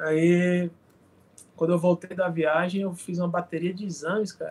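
In a high pitch, a man speaks at a moderate pace with monotone, flat intonation. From Brazil, Paraíba (Campina Grande). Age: 30s. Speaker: former professional volleyball player, business administrator. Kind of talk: casual interview chat.

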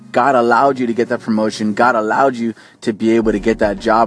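The pace is fairly quick, and the intonation stays fairly even. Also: man. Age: 30s. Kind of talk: inspirational talk to camera. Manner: hesitant, many fillers.

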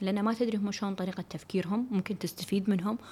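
A woman's medium-pitched voice at a very fast pace, with ordinary pitch variation. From Kuwait. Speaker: podcast host and business consultant. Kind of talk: solo podcast talk. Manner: casual, code-switching with English.

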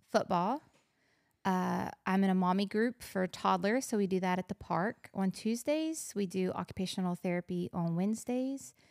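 Here is an ordinary speaking voice from a woman at medium pitch, with lively intonation. The recording is very clean with a silent background, and the sound is dry and close with no echo. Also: moderate pace. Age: 40s. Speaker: pastor's wife and mother. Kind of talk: casual chat.

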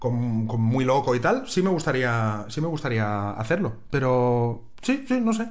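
A man at a fairly slow pace with hardly any pauses, animated in tone, his loudness very even, with audible room echo. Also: medium pitch for a man, ordinary pitch variation. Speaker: podcast co-host and TV reporter. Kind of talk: casual chat. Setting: recording at home, sharing one mic.

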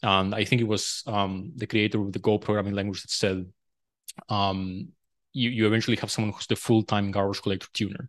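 In a Spanish accent, a man with a fairly low pitch talks at a fairly quick pace and fairly even intonation against a quiet background. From Uruguay. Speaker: programming language designer. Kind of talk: casual technical interview.

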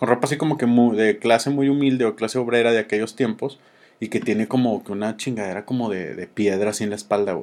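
A man speaks at a very fast pace. His pitch is medium and his intonation fairly even. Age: 30s. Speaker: podcast host. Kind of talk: casual chat.

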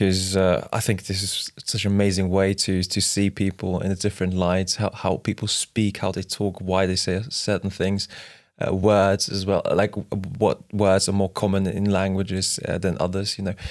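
In a very clean recording with a silent background, a man with a non-native accent speaks at a moderate pace, his fairly low pitch held in monotone, flat intonation. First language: not English. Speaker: history explainer. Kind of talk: casual explanatory chat. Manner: hesitant, many fillers.

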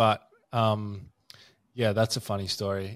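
With an Australian accent, a man talks in a fairly low pitch. His intonation is monotone and flat. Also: dry, close sound with no echo. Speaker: podcast host and addiction recovery service promoter. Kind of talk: casual interview chat.

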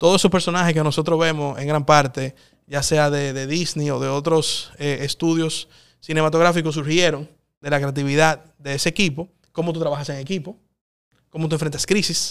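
Monotone, flat delivery from a man with a fairly high pitch, at a moderate pace on a very clean recording with a silent background. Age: 30s. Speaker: politician, congressman. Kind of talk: interview.

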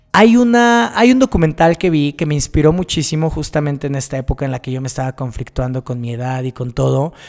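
Speaking at a very fast pace with hardly any pauses, a man with a Mexican accent uses lively intonation at a fairly high pitch. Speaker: podcast host. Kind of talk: personal monologue.

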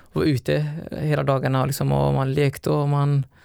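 A man with a Somali accent speaks at a moderate pace. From Somalia, raised in Sweden from age 11. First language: Somali (speaking Swedish). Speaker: elite distance runner. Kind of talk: interview.

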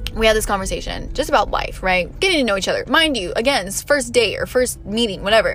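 A woman talks at a very fast pace with hardly any pauses. Music plays in the background. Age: 20s. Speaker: solo podcaster. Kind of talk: casual rant. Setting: in a car.

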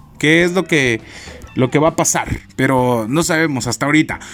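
Music plays in the background as the speech moves along at a moderate pace. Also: man. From Chiapas, Mexico. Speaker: podcast host, university student. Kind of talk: casual solo podcast monologue.

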